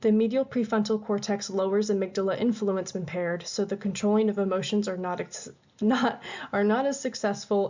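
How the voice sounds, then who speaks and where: Her intonation fairly even, a woman talks at a medium pitch. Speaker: student presenter. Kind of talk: class presentation. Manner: fast; halting.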